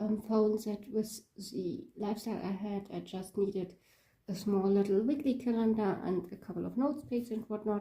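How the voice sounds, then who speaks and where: Somewhat breathy and dark, mellow in tone, a woman's fairly high voice moves with ordinary pitch variation. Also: moderate pace. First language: not English. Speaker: planner hobby YouTuber. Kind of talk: casual show-and-tell video. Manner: hesitant, many fillers.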